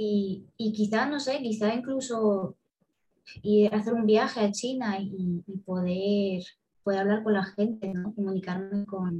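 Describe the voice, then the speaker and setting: A woman of medium pitch speaks at a fairly slow pace in a somewhat breathy voice with a dark, mellow tone. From Moldova, moved to southern Spain at 8. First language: Russian (speaking Spanish). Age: 20s. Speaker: university student and polyglot. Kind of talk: interview.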